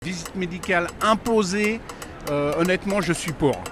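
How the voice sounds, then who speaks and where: Over noticeable background noise, a man speaks at a moderate pace in a high voice. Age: 60s. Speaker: senior driver, street interviewee. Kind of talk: vox pop interview. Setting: senior fair in Paris.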